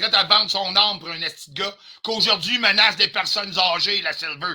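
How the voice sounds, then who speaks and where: A man's bright, sharp, high voice at a moderate pace with ordinary pitch variation. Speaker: livestreamer. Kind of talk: heated rant on livestream. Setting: live stream. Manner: loud, aggressive.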